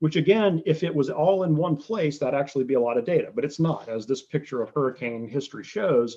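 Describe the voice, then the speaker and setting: Somewhat breathy and at a fairly high pitch, a man with an American accent talks with hardly any pauses. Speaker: oceanographer giving a talk. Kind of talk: lecture. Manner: fast; halting, many fillers and repetitions.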